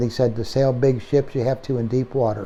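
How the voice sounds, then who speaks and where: Talking very fast, a man keeps a medium pitch and fairly even intonation. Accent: American. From Pennsylvania. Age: 70s. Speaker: horse trainer. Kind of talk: interview storytelling. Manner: halting.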